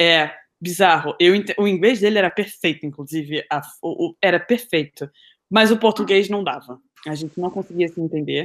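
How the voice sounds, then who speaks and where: A plain, everyday voice comes through on a very clean recording with a silent background. The pace is moderate and the pitch variation ordinary. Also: woman, fairly low pitch for a woman. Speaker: podcast co-host. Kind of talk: casual chat.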